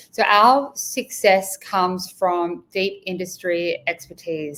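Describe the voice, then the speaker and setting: This is a woman with an Australian accent. Her voice sits fairly low in pitch. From rural Australia. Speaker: executive recruiter. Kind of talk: interview.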